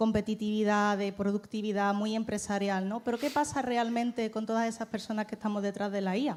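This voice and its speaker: A woman with a fairly high pitch at a very fast pace. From Málaga, Andalusia, Spain. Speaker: startup CEO. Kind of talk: panel talk.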